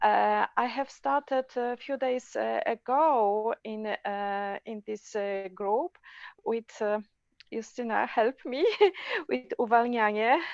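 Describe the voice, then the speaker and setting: Speaking with a Polish accent, a woman talks at a very slow pace in a fairly high pitch. Her pitch varies in an ordinary way, and the sound is dry and close with no echo. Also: quiet background. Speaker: club member. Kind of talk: casual group video call. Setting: phone on video call. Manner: halting.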